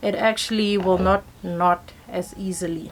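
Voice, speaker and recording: With a South African accent, a woman speaks using ordinary pitch variation. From South Africa, Pretoria. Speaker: hair vlogger. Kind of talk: tutorial. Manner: casual, chatty.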